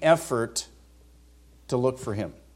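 This man has an unremarkable speaking voice with an American accent. He speaks at a moderate pace with lively intonation. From California (Vacaville). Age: 50s. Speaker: seminary professor, visiting preacher. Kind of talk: sermon.

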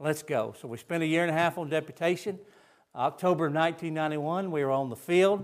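Speaking very fast with a Southern US accent, a man has a high pitch and ordinary pitch variation on a very clean recording with a silent background. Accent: Southern US (Georgia). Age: 60s. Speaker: missionary. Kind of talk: sermon. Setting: church.

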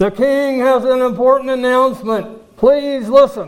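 A man speaks loudly in a put-on character voice. His pitch is extremely high, with fairly even intonation. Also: moderate pace. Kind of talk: formal announcement. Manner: loud, projected proclamation.

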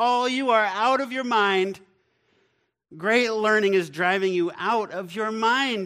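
A man puts on a character voice, pitched high and raised to project. He talks at a fairly slow pace, and the recording is very clean with a silent background. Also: ordinary pitch variation. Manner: loud, accusatory.

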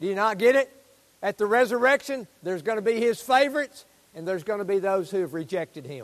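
Speaking at a very fast pace, a man with a high pitch uses lively intonation in a dry, close sound with no echo. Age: 70s. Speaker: pastor. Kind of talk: sermon. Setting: church. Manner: animated.

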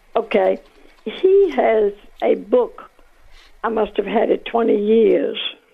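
A woman speaks at a very slow pace with long, frequent pauses and very even loudness. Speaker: caller. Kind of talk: casual chat. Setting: phone call.

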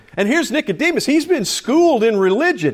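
The man's pace is fairly quick. His recording is very clean, with a silent background. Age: 50s. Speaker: pastor. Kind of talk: sermon. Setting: church.

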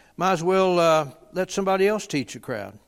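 Here a man with an American accent speaks in a high pitch with ordinary pitch variation. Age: 80s. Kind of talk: conference teaching session. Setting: conference stage with audience. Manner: halting, fillers, folksy.

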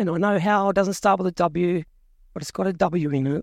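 The speaker has an Australian accent and ordinary pitch variation, captured with a dry, close sound and no echo. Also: woman. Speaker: preacher. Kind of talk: sermon. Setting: church.

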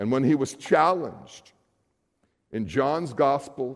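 A man with a medium-pitched voice speaks at a fairly slow pace. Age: 60s. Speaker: pastor. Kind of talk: sermon.

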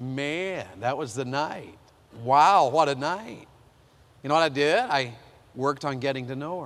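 With an American accent, a man with a fairly high pitch and ordinary pitch variation speaks with long, frequent pauses amid audible room echo. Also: fairly slow pace. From US South. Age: 50s. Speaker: preacher. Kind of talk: sermon. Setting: chapel with audience.

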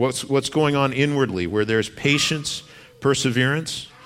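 With audible room echo in the recording, a man talks at a moderate pace and medium pitch, his intonation lively. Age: 40s. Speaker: pastor. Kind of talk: sermon.

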